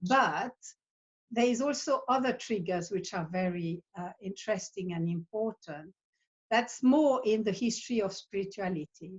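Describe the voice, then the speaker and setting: Her voice somewhat breathy, a woman speaks at a medium pitch and a moderate pace with lively intonation. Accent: Swiss. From Switzerland. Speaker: psychotherapist. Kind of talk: interview monologue. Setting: video call. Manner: halting.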